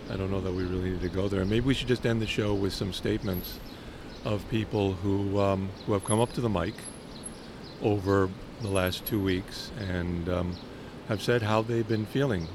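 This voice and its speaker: This man has an American accent and a fairly low pitch, talking at a moderate pace. His intonation is fairly even, and background noise is noticeable. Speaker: podcast host. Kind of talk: casual chat. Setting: outdoors.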